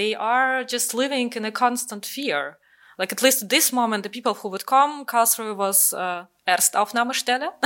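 A woman with a Russian accent speaks in a bright, sharp tone. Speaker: artist. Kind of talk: interview. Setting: video call.

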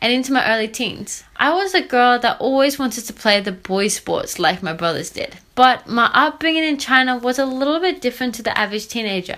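A woman with a high pitch and a bright, sharp tone talks at a fairly quick pace, with hardly any pauses. Her intonation is lively and her tone upbeat and enthusiastic. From Australia. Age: 20s. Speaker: strength and conditioning coach, podcaster. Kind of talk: scripted-style solo podcast introduction. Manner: upbeat, enthusiastic.

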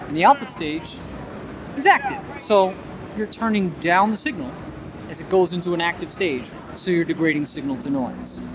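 A high-pitched man speaks at a moderate pace with lively intonation, big swings in loudness and long, frequent pauses. Noticeable background noise runs underneath. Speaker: audio gear designer demonstrating product. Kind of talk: technical product explanation. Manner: fluent, technical, explanatory.

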